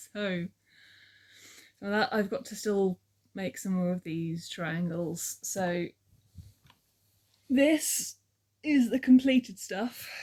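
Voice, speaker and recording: A woman speaks at medium pitch in a dark, mellow, somewhat breathy tone. Her intonation is lively, the pace very slow, with long, frequent pauses. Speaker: crafting vlogger. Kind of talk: casual vlog monologue. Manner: very quiet; rambling, hesitant with ums.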